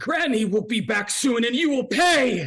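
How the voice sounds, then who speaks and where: A shrill, put-on character voice from a man, extremely high in pitch, at a moderate pace. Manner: screeching.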